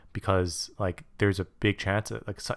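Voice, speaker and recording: On a very clean recording with a silent background and a dry, close sound with no echo, a man with a normal speaking voice talks at a moderate pace in a fairly low pitch. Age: young. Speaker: podcast co-host. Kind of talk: casual chat.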